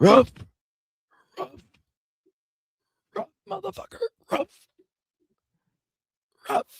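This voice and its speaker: A raspy, high-pitched put-on character voice moves at a moderate pace. Long pauses come often. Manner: pissed off, complaining.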